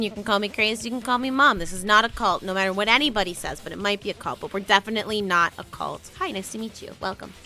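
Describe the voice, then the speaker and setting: Over music in the background, a woman with a medium pitch talks very fast with hardly any pauses, her intonation fairly even and her loudness swinging widely. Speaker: gaming streamer. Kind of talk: live game stream chat.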